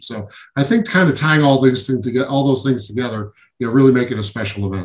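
A man with an American accent and an unremarkable speaking voice, at a fairly quick pace. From Syracuse, New York. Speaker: former pro basketball player. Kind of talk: interview.

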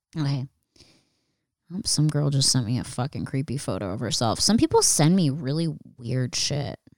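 A woman with a very deep, low pitch speaks at a moderate pace with lively intonation. Long pauses come often. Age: 30s. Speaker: podcast host. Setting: home studio, sitting on the floor.

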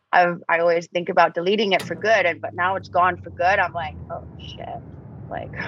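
Speaking in an American accent, a woman with a fairly low voice and vocal fry keeps a moderate pace and fairly even intonation. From Australia. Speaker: model and actor. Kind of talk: casual interview. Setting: remote call.

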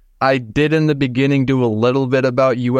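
With an American accent, a man talks fairly quickly in an ordinary speaking voice at medium pitch over a quiet background. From Minnesota. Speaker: podcaster sharing paranormal experiences. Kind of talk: casual interview, personal storytelling.

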